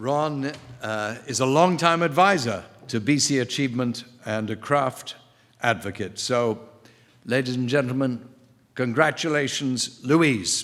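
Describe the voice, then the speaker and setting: The speech moves at a fairly slow pace with long, frequent pauses. Pitch varies in an ordinary way. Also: man, medium pitch for a man. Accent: English. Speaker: ceremony host. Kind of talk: award presentation. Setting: stage with audience.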